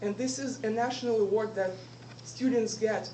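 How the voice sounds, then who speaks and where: A woman speaks at a fairly high pitch with lively intonation. Noticeable background noise and audible room echo are present. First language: not English. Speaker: student giving a club speech. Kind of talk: inspirational speech.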